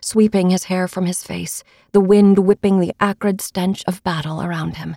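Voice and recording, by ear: Someone is reading aloud in a natural voice. The delivery is a read text.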